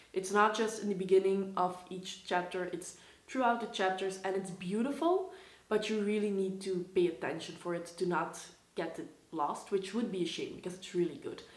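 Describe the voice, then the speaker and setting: A woman with a Dutch accent talks at a medium pitch, using ordinary pitch variation. Room echo is audible. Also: moderate pace. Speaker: book vlogger. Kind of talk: casual vlog talk.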